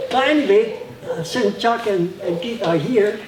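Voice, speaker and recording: Over noticeable background noise, a man speaks at a fairly slow pace. His pitch varies in an ordinary way. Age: 70s. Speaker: martial arts master. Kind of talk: seminar talk; martial arts demonstration. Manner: casual, halting.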